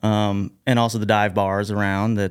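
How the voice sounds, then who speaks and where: In a very clean recording with a silent background, a man with an American accent speaks in a fairly low, flat monotone. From Southern Illinois, US (Carbondale area). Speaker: record label founder and musician. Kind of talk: interview.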